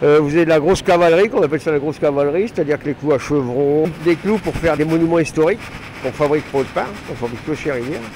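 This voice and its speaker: Against noticeable background noise, a man talks very fast at a fairly high pitch with ordinary pitch variation. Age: 60s. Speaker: retired factory worker and trainer. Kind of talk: interview. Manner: casual, halting.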